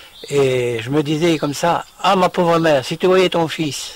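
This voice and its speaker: Amid noticeable background noise, a man speaks at a very slow pace with a fairly high pitch and ordinary pitch variation. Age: 70s. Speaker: retired farmer and microlight pilot. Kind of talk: personal testimony. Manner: halting, many hesitations.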